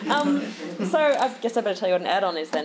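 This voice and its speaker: A woman's medium-pitched voice with very wide pitch swings over noticeable background noise. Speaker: conference speaker, software engineer. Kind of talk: conference talk. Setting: stage with audience. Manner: fast.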